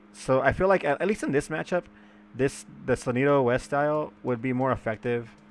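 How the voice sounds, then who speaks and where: A man speaks at a fairly quick pace. Music can be heard in the background. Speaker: gaming video commentator. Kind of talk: game footage commentary. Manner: halting, stammering; mumbling.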